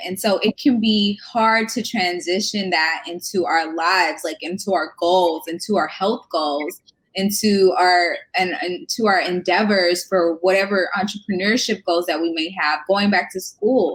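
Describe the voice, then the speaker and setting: A woman has an ordinary speaking voice at a medium pitch. She speaks at a fairly slow pace. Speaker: nurse and wellness coach podcast host. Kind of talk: casual interview chat. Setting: live video stream.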